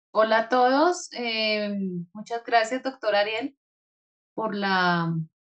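A woman at a very slow pace. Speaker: mindfulness facilitator and meditation guide. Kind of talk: casual interview chat.

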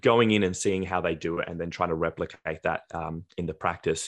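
Speaking at a fairly quick pace, a man with an Australian accent has a very deep, low voice. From Australia, Adelaide. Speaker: dentist. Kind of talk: podcast interview.

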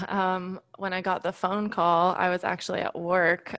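Recorded very cleanly with a silent background and a dry, close sound with no echo, a woman with an American accent and an unremarkable speaking voice talks fairly slowly at a medium pitch. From California. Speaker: physician assistant student, former college volleyball player. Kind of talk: casual interview.

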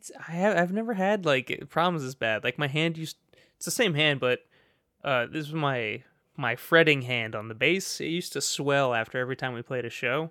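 A man with an unremarkable speaking voice talks at a moderate pace in a fairly high pitch. The very clean recording has a silent background and a dry, close sound with no echo. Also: lively intonation. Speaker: video game podcast co-host. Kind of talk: casual chat. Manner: jokey, laughs often.

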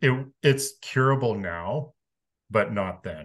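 The background stays quiet. His intonation is lively as the man talks. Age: 50s. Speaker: podcast guest, former religious adherent. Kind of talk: interview, personal testimony.

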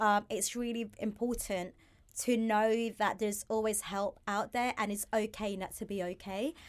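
In a very clean recording with a silent background, a woman uses a plain, everyday voice, fairly high in pitch with fairly even intonation. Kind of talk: casual podcast chat.

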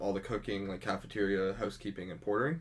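A normal speaking voice with a Canadian accent. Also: man. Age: 20s. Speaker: hospital porter and drummer. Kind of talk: casual chat.

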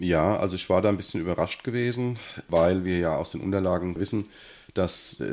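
The recording is very clean, the background silent. A man speaks in a very deep, low pitch with ordinary pitch variation. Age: 40s. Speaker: local politician, city councillor. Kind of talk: casual interview.

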